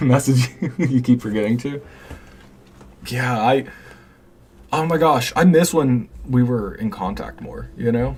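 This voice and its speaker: Speaking at a medium pitch and a fairly slow pace, a man leaves long, frequent pauses. His pitch varies in an ordinary way, and noticeable background noise is present. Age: 20s. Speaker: live streamer. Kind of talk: casual chat. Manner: halting.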